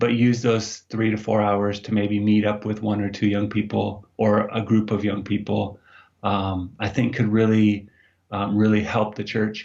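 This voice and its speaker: Speaking in an American accent, a man uses a fairly low pitch and monotone, flat intonation at a fairly slow pace. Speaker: youth ministry director. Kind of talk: interview. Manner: hesitant, with fillers.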